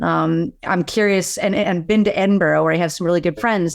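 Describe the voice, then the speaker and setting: This woman talks at a moderate pace with an American accent, her pitch fairly low and her intonation fairly even. The recording is very clean, with a silent background. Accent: Philadelphia accent, stronger when drinking. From Philadelphia, US. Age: 50s. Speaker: podcast host. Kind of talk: interview.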